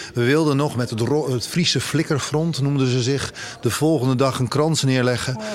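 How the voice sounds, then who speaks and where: A man talks at a moderate pace, medium in pitch and fairly even in intonation, with noticeable background noise behind him. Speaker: presenter and LGBTI activist. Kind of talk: interview.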